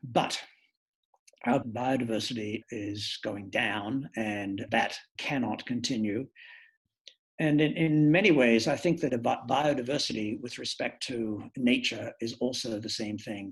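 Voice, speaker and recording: A man's somewhat breathy voice at medium pitch, fairly slow, with ordinary pitch variation over a quiet background. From China, then Australia. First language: Mandarin. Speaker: organizational psychologist and lecturer. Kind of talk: masterclass lecture. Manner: reflective, with frequent hesitations.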